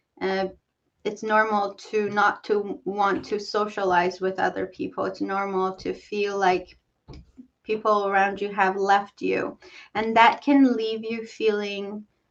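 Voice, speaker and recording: A woman's medium-pitched voice with a non-native accent, fairly slow in pace and fairly even in intonation. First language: not English. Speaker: talk show host. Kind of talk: interview. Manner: halting.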